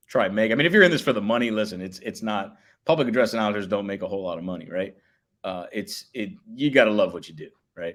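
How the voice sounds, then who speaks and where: Speaking very fast with an American accent, a man uses lively intonation at a fairly low pitch. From Miami, Florida. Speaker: public address announcer. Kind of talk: casual chat.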